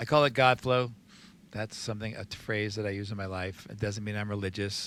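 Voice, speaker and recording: Very clean recording, silent background: a man with an American accent speaks in a normal speaking voice. He has a fairly low pitch and a fairly quick pace. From New Jersey. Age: 60s. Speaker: recovery sponsor. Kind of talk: casual podcast interview.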